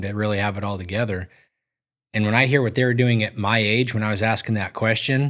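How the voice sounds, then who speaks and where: A man speaks at a fairly quick pace in a plain, everyday voice, his fairly low pitch held to fairly even intonation on a very clean recording with a silent background. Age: 40s. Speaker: podcast host. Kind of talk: casual interview chat.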